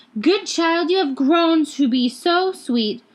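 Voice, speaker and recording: A woman talks at a fairly slow pace in a put-on character voice. Her pitch is extremely high. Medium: read story. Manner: falsely sweet, wheedling.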